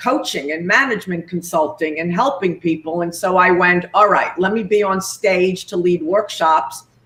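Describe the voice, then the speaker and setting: A woman's medium-pitched voice in a New York accent, with ordinary pitch variation. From New York, Long Island. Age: 60s. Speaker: executive coach, company co-founder. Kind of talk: interview. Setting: live video stream. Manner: animated.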